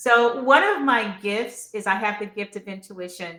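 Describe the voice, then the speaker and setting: A woman speaks with an American accent in an ordinary speaking voice. Her pitch is medium, with ordinary variation. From North Carolina. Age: 60s. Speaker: author. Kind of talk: interview.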